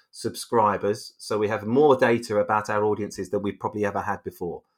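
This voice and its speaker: In a British accent, a man speaks with a fairly low pitch and fairly even intonation. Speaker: media executive, head of branded content studio. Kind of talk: interview. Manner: hesitant, many fillers and repetitions.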